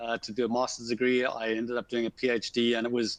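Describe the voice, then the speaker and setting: With a Zimbabwean accent, a man talks at a fairly quick pace in a medium pitch. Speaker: civil engineer, asset management consultant. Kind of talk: webinar conversation.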